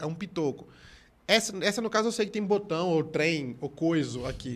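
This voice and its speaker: A man's high-pitched voice with lively intonation at a fairly quick pace, on a very clean recording with a silent background. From Pernambuco, Brazil. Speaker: comedian. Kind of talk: casual chat.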